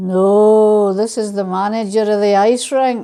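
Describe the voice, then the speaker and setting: Using a booming, put-on character voice of medium pitch, a woman speaks at a fairly slow pace. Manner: comic, deadpan.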